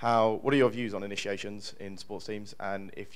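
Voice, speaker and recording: A man's voice, fairly low in pitch. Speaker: student audience member. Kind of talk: question from the floor. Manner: fast.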